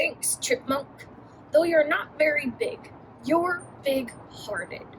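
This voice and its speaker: In a put-on character voice, a woman speaks gruffly at a high pitch and a fairly slow pace over clear background noise. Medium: read story. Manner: gruff, grumbling.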